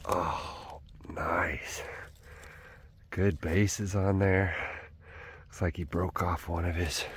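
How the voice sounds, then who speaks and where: A man's whisper at a very slow pace. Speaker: hunting vlogger. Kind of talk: casual vlog narration. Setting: outdoors. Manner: whispering; animated.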